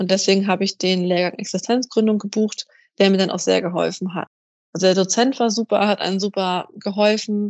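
A woman talks at a fairly quick pace with fairly even intonation. It is an ordinary speaking voice. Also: medium pitch for a woman. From northern Germany, Kiel. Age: 20s. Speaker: personal trainer and athletic coach. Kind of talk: interview.

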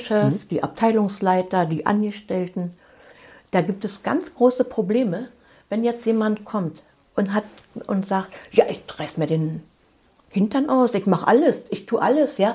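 A somewhat breathy woman with a medium pitch, a dark, mellow tone, lively intonation and a fairly slow pace. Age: 60s. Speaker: family constellation therapist. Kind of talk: interview.

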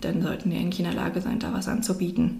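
A woman's medium-pitched voice with audible room echo. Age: 30s. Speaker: social worker and daycare consultant. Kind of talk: interview.

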